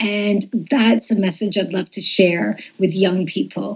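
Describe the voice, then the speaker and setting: This woman talks at a fairly slow pace with vocal fry and a medium pitch. Her pitch varies in an ordinary way. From Montreal, Quebec. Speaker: children's TV entertainer. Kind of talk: interview.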